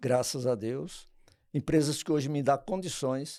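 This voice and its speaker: A dark, mellow tone with ordinary pitch variation on a very clean recording with a silent background. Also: man. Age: 70s. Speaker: charity volunteer for elderly care home. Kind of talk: interview. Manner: halting.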